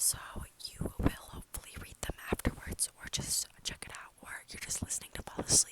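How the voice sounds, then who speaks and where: Whispered words come at a fairly quick pace, with noticeable background noise behind them. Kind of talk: casual talk to camera.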